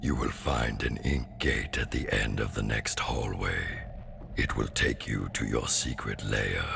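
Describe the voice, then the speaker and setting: Against loud background music, a man speaks at a fairly slow pace in a put-on character voice. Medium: machinima. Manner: cryptic, overly formal, servile.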